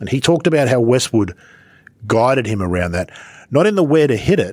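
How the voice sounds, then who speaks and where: In a very clean recording with a silent background, a speaker with an Australian accent talks at a fairly quick pace with very wide pitch swings. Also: man. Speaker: golf podcast host. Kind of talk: casual chat.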